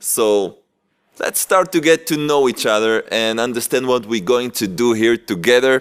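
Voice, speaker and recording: A fairly slow-paced man's delivery, marked by a non-native accent. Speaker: rabbi. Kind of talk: religious lecture. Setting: yeshiva with audience. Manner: halting.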